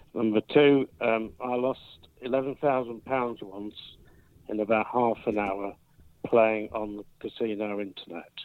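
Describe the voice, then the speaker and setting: A man with an unremarkable speaking voice talks at a fairly slow pace, his intonation fairly even and his loudness swinging widely. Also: medium pitch for a man. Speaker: quizmaster. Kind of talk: casual quiz game chat. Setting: phone call.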